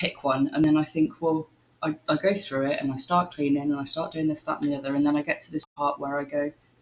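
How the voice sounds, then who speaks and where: A woman's very deep, low voice, fairly quick, with fairly even intonation. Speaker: streamer. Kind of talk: casual chat.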